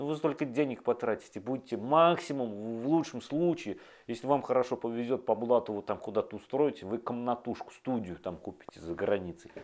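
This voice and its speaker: At a fairly quick pace, a man talks in an animated tone with ordinary pitch variation. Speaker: video blogger. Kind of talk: monologue to camera. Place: home room. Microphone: lapel.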